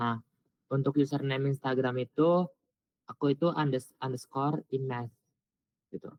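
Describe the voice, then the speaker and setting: At a moderate pace, a man with a medium pitch speaks in fairly even intonation, leaving long, frequent pauses. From Indonesia, West Java (Subang). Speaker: new university student. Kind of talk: self-introduction on video call. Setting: video call.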